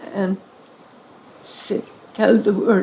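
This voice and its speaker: A woman with a Hungarian accent talks at a very slow pace amid noticeable background noise. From Hungary. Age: 90s. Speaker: Holocaust survivor. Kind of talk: interview Q&A with audience.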